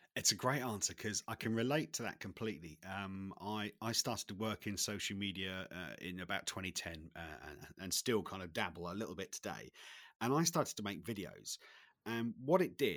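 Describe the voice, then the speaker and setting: With a British accent, a man talks at a fairly quick pace and a fairly low pitch, his intonation lively and the sound dry and close with no echo. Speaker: podcast host. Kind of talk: podcast interview. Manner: halting.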